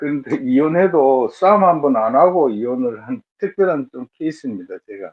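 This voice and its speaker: A man speaks at a moderate pace in a fairly high pitch, with lively intonation, big swings in loudness and hardly any pauses. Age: 60s. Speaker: matchmaking show participant. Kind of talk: interview. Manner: halting.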